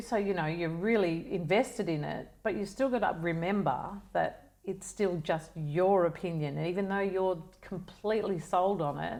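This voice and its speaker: A woman in an Australian accent, medium in pitch, with ordinary pitch variation. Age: 60s. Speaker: wellness advocate. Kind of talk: casual chat.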